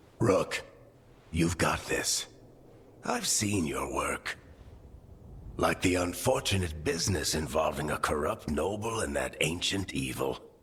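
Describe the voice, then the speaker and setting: In a put-on character voice, a man speaks with a very deep, low pitch at a fairly slow pace, leaving long, frequent pauses. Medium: video game. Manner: dry, wry, warm.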